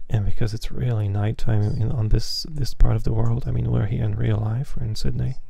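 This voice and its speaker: A man talks quietly in a relaxed tone at a moderate pace. Audible room echo surrounds his voice. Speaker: flight sim streamer. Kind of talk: live stream commentary. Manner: quiet, hushed; relaxed, casual.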